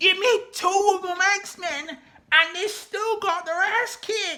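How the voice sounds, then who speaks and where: Shouting in a put-on character voice, a woman squeaks at an extremely high pitch. She speaks at a very slow pace. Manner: yelling, heated.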